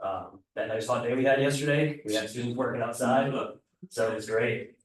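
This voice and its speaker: A man talks at medium pitch. Audible room echo surrounds his voice. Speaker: welding program coordinator and instructor. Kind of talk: committee meeting presentation. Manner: fast.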